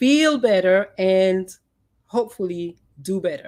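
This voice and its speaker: A woman with a slight Dominican accent, at a very slow pace and medium pitch, with very wide pitch swings. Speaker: psychologist and podcast host. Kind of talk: podcast talk, presentation rehearsal.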